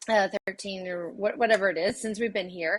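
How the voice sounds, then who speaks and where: At a moderate pace, a woman speaks with a Louisiana accent. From southwest Louisiana. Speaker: associate pastor and university administrator. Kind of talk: podcast interview.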